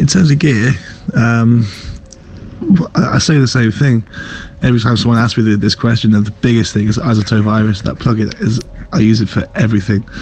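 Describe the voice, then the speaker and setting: Fairly quick speech from a man at medium pitch, with ordinary pitch variation, very even loudness, long and frequent pauses, and noticeable background noise. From North Wales. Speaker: dubstep producer. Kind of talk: interview.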